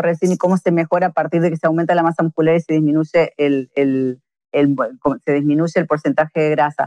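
A woman speaks with a dark, mellow tone. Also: dry, close sound with no echo. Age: 50s. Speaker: fitness coach. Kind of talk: interview.

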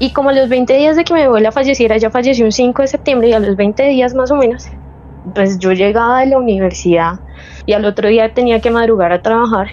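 Over noticeable background noise, a woman with a Bogotá accent talks at a fairly quick pace, her fairly high pitch showing ordinary variation and her loudness very even. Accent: Bogotá Colombian Spanish. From Bogotá, Colombia. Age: 20s. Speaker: caller sharing paranormal story. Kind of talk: personal testimony. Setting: remote call.

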